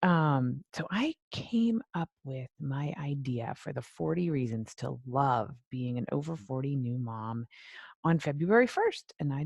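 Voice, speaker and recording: A soft-spoken woman with a very deep, low pitch and lively intonation, in a dry, close sound with no echo and a quiet background. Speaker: life and weight loss coach. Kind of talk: live stream talk. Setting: Facebook live video. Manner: soft-spoken, low volume.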